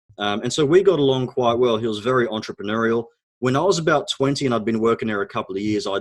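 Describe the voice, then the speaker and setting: Speaking with an Australian accent, a man uses a medium pitch and lively intonation. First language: Arabic. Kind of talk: interview storytelling. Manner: hesitant, many fillers.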